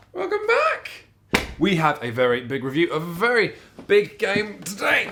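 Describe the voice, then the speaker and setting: A man's squeaky, high-pitched put-on character voice at a moderate pace. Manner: cheerful, presenter-like.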